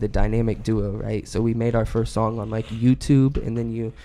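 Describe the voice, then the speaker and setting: A man talks at a medium pitch, with noticeable background noise present. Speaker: rapper and podcast co-host. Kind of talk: casual chat.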